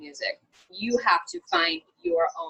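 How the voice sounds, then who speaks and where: A woman speaks in a normal speaking voice at a medium pitch. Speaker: songwriter and vocalist. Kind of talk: interview answer. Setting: video call.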